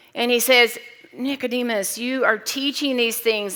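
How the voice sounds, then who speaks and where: A loud, high-pitched woman's voice with a bright, sharp tone, fairly even intonation, and a moderate pace. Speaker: pastor. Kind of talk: sermon.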